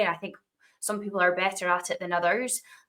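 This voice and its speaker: A woman speaks with a Dundee accent. Her tone is bright and sharp. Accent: Scottish (Dundee). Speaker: podcast host, tech presales professional. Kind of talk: interview conversation.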